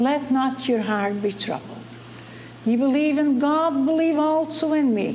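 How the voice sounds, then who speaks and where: Amid noticeable background noise, a woman with a high voice speaks at a fairly slow pace, her pitch varying in an ordinary way. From Netherlands. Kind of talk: personal testimony.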